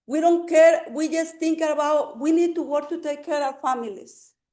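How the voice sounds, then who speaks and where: A woman's high-pitched voice with audible echo from the room. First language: Spanish. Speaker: public commenter, community health worker. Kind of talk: public testimony. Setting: city council meeting. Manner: halting.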